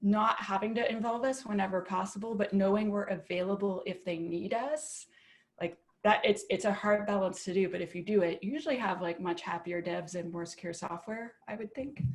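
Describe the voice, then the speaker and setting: A woman with a Canadian accent speaks at a medium pitch. Her voice is somewhat breathy and animated in tone. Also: ordinary pitch variation, fairly quick pace. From Canada. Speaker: application security expert. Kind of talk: panel discussion. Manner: fast, animated.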